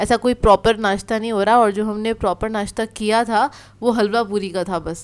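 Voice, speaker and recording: A woman speaks at a fairly high pitch in a monotone, flat intonation. The recording is very clean, with a silent background. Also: moderate pace. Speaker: family lifestyle vlogger. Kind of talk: casual vlog voice-over chat.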